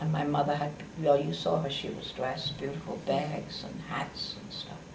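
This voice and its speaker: Over noticeable background noise, a woman with a very deep, low pitch talks at a moderate pace. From Berlin, Germany. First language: German. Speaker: Holocaust survivor, retired nurse. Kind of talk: interview answer.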